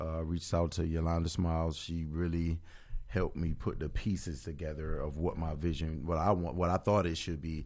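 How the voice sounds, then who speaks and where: At a moderate pace, a man talks in a monotone, flat intonation with a very deep, low pitch. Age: 40s. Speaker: entrepreneur and event organizer. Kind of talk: casual interview.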